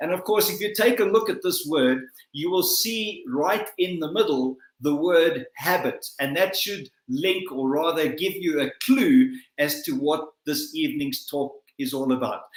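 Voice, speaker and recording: Using a South African accent, a man speaks at a fairly slow pace with a high pitch and very wide pitch swings. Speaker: motivational speaker. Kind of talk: motivational talk. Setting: livestream. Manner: formal.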